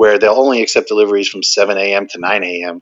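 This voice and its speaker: A man's medium-pitched, plain, everyday voice with ordinary pitch variation. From New Jersey. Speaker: cannabis entrepreneur. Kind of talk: podcast interview.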